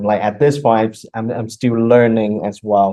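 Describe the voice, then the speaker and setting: Speaking at a moderate pace, a man uses medium pitch with a Vietnamese accent. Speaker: math instructor. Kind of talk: lecture.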